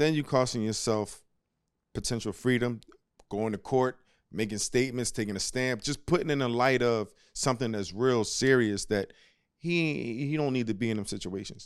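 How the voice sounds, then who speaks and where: A man talks in an ordinary speaking voice at a medium pitch, with ordinary pitch variation and a fairly quick pace. The recording is very clean, with a silent background. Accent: American. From US Northeast, Philadelphia. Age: 40s. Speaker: former basketball player and analyst. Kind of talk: casual chat.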